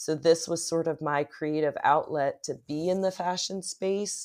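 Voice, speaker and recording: Fairly slow and fairly low in pitch, a woman with an American accent uses a plain, everyday voice with ordinary pitch variation on a very clean recording with a silent background. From US Northeast, West Philadelphia. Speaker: creative director and content creator. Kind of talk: interview.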